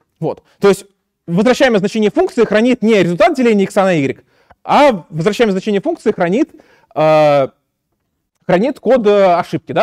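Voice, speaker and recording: Heard against a quiet background with dry sound and no echo, a man speaks with very wide pitch swings. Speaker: university lecturer. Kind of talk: lecture. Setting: lecture hall. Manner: hesitant, many filler sounds. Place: classroom.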